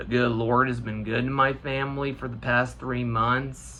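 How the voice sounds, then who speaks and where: Someone with an American accent speaks at a fairly slow pace, with audible room echo. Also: man. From US Midwest, Indiana. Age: 20s. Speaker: gaming YouTuber. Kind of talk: personal vlog monologue. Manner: halting.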